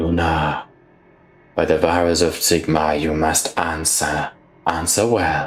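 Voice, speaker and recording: A man puts on a character voice with a very deep, low pitch and monotone, flat intonation. He moves at a fairly slow pace with long, frequent pauses. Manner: whispering to herself.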